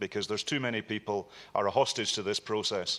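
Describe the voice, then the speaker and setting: With a Scottish accent, a man speaks at a very fast pace in a bright, sharp tone with fairly low pitch. The recording is very clean, with a silent background. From Scotland. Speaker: member of parliament. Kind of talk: parliamentary committee question.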